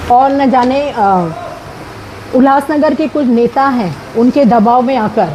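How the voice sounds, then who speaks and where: Her pitch is high and her pitch variation ordinary as a woman speaks. Noticeable background noise runs beneath her voice. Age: 60s. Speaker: retired teacher in a property dispute. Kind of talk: statement to the media.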